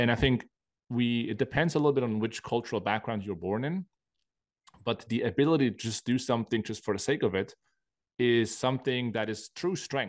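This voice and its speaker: A man with a German accent, medium pitch, ordinary pitch variation and a fairly quick pace, in a quiet background. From Switzerland. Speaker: high-stakes poker player and coach. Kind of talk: casual interview chat.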